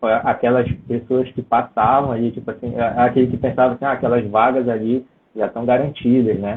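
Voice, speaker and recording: Man at medium pitch, monotone and flat, at a fairly quick pace. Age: 20s. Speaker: civil service exam top scorer. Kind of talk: interview.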